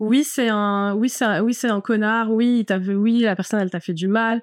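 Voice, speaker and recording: A woman at medium pitch with ordinary pitch variation and a fairly slow pace, on a very clean recording with a silent background. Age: 30s. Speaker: fashion stylist. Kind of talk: personal testimony. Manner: casual, hesitant with fillers.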